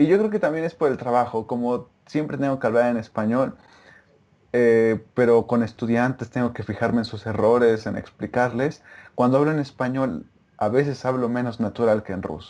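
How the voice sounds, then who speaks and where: The pace is moderate as a man speaks. He stays at a medium pitch, varying it in an ordinary way. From Mexico. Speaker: former Russian-language student, interviewee. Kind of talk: casual interview over video call. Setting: remote video call.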